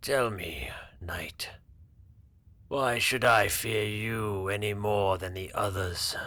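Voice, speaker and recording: Putting on a rumbling, raspy character voice, a man speaks with a fairly low pitch at a very slow pace, leaving long, frequent pauses. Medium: read story. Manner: slow, measured, weary.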